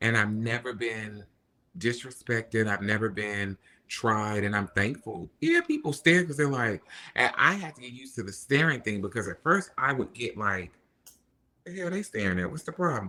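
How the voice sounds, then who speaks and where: A man's bright, sharp voice at a moderate pace, with lively intonation, big swings in loudness and a very clean recording with a silent background. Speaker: social media influencer. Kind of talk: casual chat.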